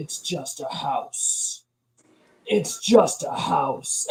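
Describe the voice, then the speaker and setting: Putting on a character voice, a man speaks at an extremely high pitch and a very slow pace. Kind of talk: trailer announcer. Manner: ominous, repeated.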